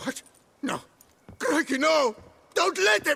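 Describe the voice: A man puts on a character voice at an extremely high pitch, with big pitch swings, a bright, sharp tone, vocal fry and a slow pace.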